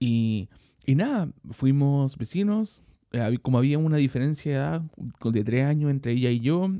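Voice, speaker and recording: A man with a Chilean accent and a fairly high pitch, at a moderate pace, with long, frequent pauses. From Chile, Santiago (Maipú). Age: 30s. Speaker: podcast host. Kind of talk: monologue podcast. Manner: hesitant, many fillers and repetitions.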